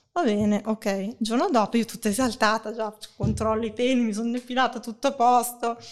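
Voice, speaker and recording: With an unremarkable speaking voice, a woman talks fairly quickly at a fairly high pitch and with fairly even intonation. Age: 40s. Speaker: sex blogger. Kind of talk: casual chat. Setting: online audio room.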